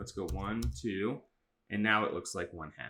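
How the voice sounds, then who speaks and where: A man's bright, sharp tone with vocal fry. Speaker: middle school teacher. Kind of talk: tutorial. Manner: fast; casual, with fillers.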